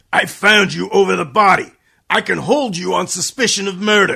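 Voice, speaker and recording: On a very clean recording with a silent background, a man uses a raspy, put-on character voice, high-pitched and raised and projected, at a moderate pace. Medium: old radio play. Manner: gruff, blustering.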